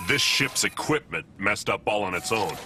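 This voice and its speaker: A man puts on a cartoonish character voice at a fairly low pitch. Clear background noise runs underneath. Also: moderate pace. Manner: dry, deadpan.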